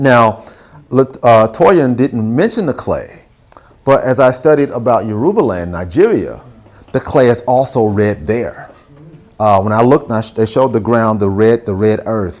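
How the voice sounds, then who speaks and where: A man with a Southern US accent talks at a medium pitch and a moderate pace, with ordinary pitch variation. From Alabama, Huntsville. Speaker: visual artist. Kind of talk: artist talk with audience Q&A. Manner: casual, conversational.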